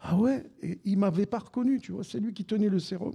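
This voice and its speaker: The man's tone is dark and mellow. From Algeria, raised in Besançon. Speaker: retired football radio commentator. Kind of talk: casual interview before live audience. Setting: live recording with audience.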